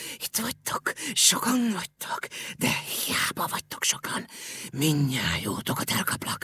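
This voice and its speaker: A man's put-on character voice, high-pitched and hissing. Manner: mocking, hissing.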